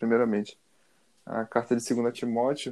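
On a very clean recording with a silent background, a man with a dark, mellow tone speaks at a fairly slow pace. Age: 20s. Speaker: podcast co-host. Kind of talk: casual chat.

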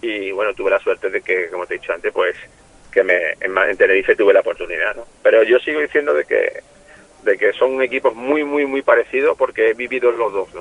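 This man's speech comes fairly quickly, with noticeable noise around him. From Málaga, Andalusia. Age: 50s. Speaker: retired footballer, care home owner. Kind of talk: interview.

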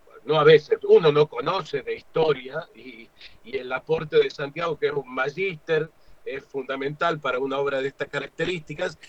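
An unremarkable speaking voice belongs to a man with fairly high pitch, who talks at a moderate pace with fairly even intonation. Loudness swings widely, and the sound is dry and close with no echo. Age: 50s. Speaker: stage actor and director. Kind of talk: interview.

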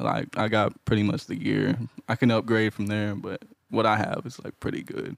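With an American accent, the speaker shows vocal fry, ordinary pitch variation, and a moderate pace. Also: man, fairly low pitch for a man. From Houston, Texas. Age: 20s. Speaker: audio engineer. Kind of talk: casual interview chat.

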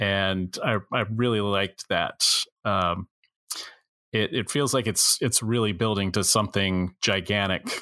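In a very clean recording with a silent background, a man with a fairly low pitch and a bright, sharp tone speaks at a fairly slow pace with fairly even intonation and very even loudness, the sound dry and close with no echo. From United States. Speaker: author. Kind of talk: casual chat.

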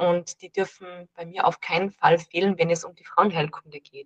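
An unremarkable speaking voice from a woman, fairly low in pitch, at a moderate pace, with a dry, close sound and no echo. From Austria, Salzburg. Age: 30s. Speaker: dietitian and herbalist. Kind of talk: casual interview.

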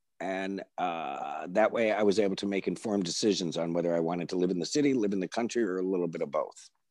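A man's very deep, low voice with an American accent, very fast pace and ordinary pitch variation. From upstate New York, Binghamton. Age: 60s. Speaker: journalist and former character actor. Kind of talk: casual interview. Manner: animated.

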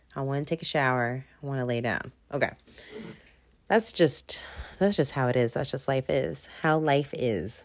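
Mumbling at a moderate pace with long, frequent pauses, a woman uses a very deep, low pitch and lively intonation on a very clean recording with a silent background. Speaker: podcast host. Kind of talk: casual solo monologue. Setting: at home.

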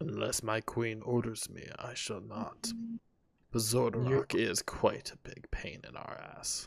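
A man puts on a raspy character voice at a medium pitch. He delivers it at a fairly slow pace. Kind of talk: tabletop game master character voice. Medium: actual play. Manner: gruff, profane, curt.

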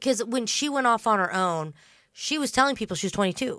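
With an American accent, a woman speaks in a bright, sharp tone with very wide pitch swings, on a very clean recording with a silent background. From Indiana. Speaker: true crime podcast host. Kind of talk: casual chat.

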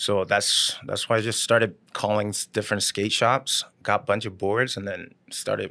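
Over a quiet background, the voice has a bright, sharp tone and a monotone, flat intonation at a moderate pace. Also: man. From South Korea. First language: Korean. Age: 30s. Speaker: YouTube woodworker. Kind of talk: casual chat. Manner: halting, with many fillers and restarts.

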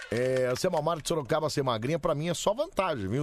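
A man talks fairly quickly while noticeable background noise continues around him. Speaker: late-night radio host. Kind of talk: casual radio banter with callers. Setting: radio studio. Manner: animated, joking.

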